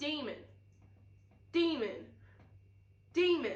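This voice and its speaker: Putting on a growling character voice, a woman speaks at a high pitch with audible echo. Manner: menacing, repeating the word.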